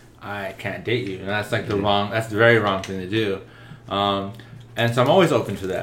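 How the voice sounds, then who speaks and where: Amid noticeable background noise and audible room echo, a man with a fairly low pitch talks at a fairly quick pace with fairly even intonation. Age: 20s. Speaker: podcast guest, musician. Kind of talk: casual chat.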